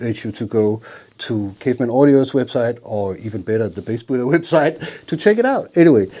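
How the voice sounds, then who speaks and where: A man speaks at a medium pitch with a Danish accent. Noticeable background noise can be heard. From Jutland, Denmark. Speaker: bass channel host, interviewer. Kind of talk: interview.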